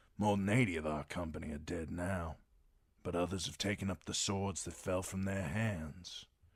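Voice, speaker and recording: Someone performs a put-on character voice at a moderate pace. The recording is very clean, with a silent background. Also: man, very deep, low pitch for a man. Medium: read story. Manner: solemn, measured.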